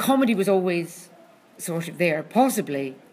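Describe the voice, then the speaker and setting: A woman speaks with a Scottish accent. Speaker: comedy critic. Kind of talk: casual chat. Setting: venue with loud drumming in background.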